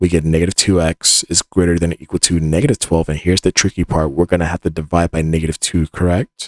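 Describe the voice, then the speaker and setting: The man's very deep, low voice has a dry, close sound with no echo. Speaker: math tutor. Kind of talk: tutorial. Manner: fast; casual.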